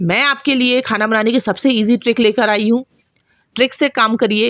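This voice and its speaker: A woman with a Bundelkhandi accent, in a dry, close sound with no echo. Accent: Bundelkhandi touch in her Hindi. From Bundelkhand, central India. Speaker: cooking channel host. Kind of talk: cooking tutorial.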